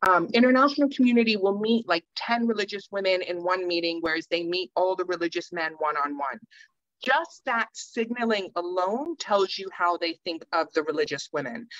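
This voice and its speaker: A woman at a medium pitch speaks at a moderate pace with lively intonation and hardly any pauses, the sound dry with no echo and the background quiet. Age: 40s. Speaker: peacebuilding panelist; panelist. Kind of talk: panel discussion. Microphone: video call.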